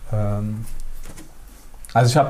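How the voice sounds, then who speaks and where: Talking fairly slowly, this man uses a medium pitch. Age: 30s. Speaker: architect. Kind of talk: casual chat. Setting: on location in a housing project, while cooking. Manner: halting.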